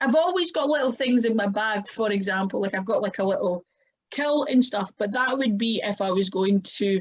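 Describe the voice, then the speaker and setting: A strong Scottish accent, somewhat breathy, with lively intonation at a moderate pace. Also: woman. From Scotland. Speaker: professional wrestler. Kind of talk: podcast interview.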